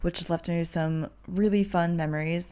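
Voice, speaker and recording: In an American accent, a woman talks very fast with a fairly low pitch and fairly even intonation, on a very clean recording with a silent background. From US Midwest. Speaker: podcast host, travel agent and digital nomad. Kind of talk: casual solo podcast monologue.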